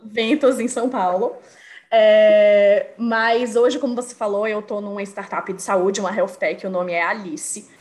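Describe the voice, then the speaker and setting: There is noticeable background noise behind a woman with a fairly high pitch. She speaks at a fairly slow pace with ordinary pitch variation. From Brazil, Bahia (Salvador). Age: 30s. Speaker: marketing professional. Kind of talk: casual interview chat.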